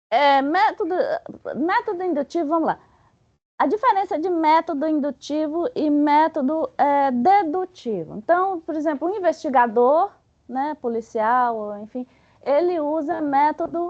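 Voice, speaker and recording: In a dry, close sound with no echo, a woman speaks at a high pitch with lively intonation. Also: fairly slow pace. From Bahia, Brazil. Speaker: spiritist study presenter. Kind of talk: lecture. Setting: spiritist center meeting with audience. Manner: halting; animated.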